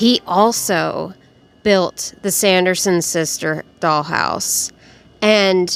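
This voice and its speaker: A woman speaks very slowly at a medium pitch. Her pitch varies in an ordinary way. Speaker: miniature dollhouse crafter. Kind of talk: casual voiceover tutorial. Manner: loud; animated.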